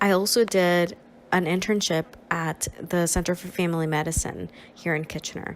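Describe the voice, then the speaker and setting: Against noticeable background noise, a woman with a fairly low pitch speaks in a monotone, flat intonation. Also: moderate pace. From Nicaragua. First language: Spanish. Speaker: social work student and counselor. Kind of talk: presentation.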